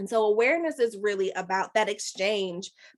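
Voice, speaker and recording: At a moderate pace, a woman with a fairly high pitch speaks in a plain, everyday voice. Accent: American. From Chicago, Rogers Park. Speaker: life coach. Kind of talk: webinar talk.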